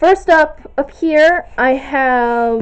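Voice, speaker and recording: A woman's high voice with lively intonation, at a very slow pace. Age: young (19). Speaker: video blogger. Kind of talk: bookshelf tour listing titles. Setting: home recording on camera, echoey room. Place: home room. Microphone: phone near.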